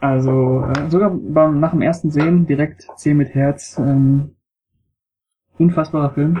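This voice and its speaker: Speaking very slowly with long, frequent pauses, a man uses a fairly high, somewhat breathy voice at very even loudness with fairly even intonation. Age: 20s. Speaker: film blogger. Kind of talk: casual chat.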